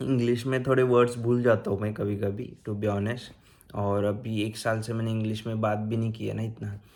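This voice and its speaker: The man's intonation is monotone and flat. He keeps a medium pitch and a moderate pace. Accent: Marathi. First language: Marathi (speaking Hindi). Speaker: YouTuber giving advice on vocational training in Germany. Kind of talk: casual vlog tutorial. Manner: casual, hesitant with fillers.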